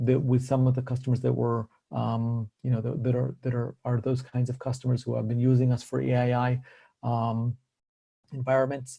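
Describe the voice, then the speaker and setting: A man talks at medium pitch in a dark, mellow tone. His delivery is monotone and somewhat breathy. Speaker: tech company executive presenting. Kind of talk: webinar presentation. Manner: fast.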